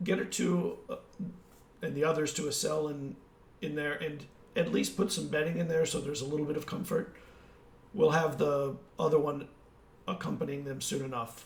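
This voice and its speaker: Someone in a raspy, put-on character voice talks at a moderate pace with ordinary pitch variation and long, frequent pauses. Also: man, fairly high pitch for a man. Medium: actual play. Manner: deferential, brisk.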